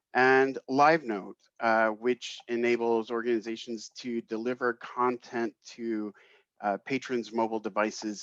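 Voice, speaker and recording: A man with a US East Coast accent speaks at a medium pitch and a fairly slow pace with fairly even intonation, in a dry, close sound with no echo. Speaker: tech company marketing executive. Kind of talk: webinar presentation. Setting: video call webinar.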